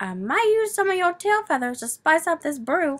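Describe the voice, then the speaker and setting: The speaker is a woman putting on a character voice. She pitches it extremely high. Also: moderate pace. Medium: read story. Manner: sneering, croaking.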